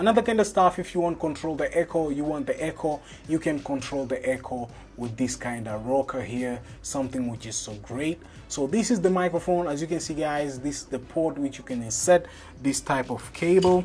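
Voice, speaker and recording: Faint music plays in the background as someone speaks at a fairly quick pace. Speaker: tech reviewer. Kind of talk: unboxing commentary. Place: home room.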